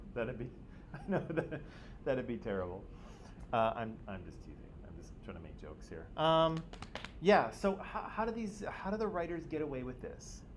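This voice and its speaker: A man's fairly high voice at a moderate pace, with very wide pitch swings, big swings in loudness, long and frequent pauses, noticeable background noise, and audible room echo. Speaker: high school teacher. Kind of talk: classroom discussion. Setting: classroom.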